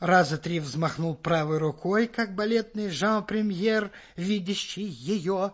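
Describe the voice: The text is given as plain reading aloud, its pitch varying in an ordinary way.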